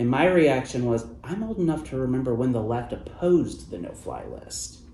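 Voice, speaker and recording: A man's voice, its pitch varying in an ordinary way, carries audible echo from the room. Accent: Midwestern American. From US Midwest (Ohio). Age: 30s. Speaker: journalist. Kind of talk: interview. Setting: event venue.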